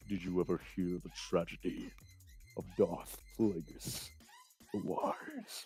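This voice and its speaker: With faint music in the background, a put-on character voice at a very deep, low pitch moves at a fairly slow pace with long, frequent pauses. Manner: sinister, dramatic.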